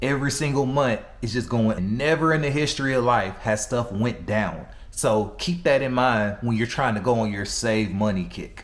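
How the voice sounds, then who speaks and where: A man's medium-pitched voice at a moderate pace with ordinary pitch variation, amid noticeable background noise. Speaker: personal finance commentator. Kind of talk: casual talk to camera. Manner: energetic, blunt, humorous.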